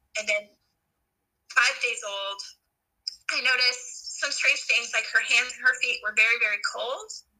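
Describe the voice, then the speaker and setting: Moderate pace with long, frequent pauses and big swings in loudness. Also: woman. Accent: General American. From Colorado, Rocky Mountains. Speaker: mother sharing faith story. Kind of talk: testimony. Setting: remote recording, children present.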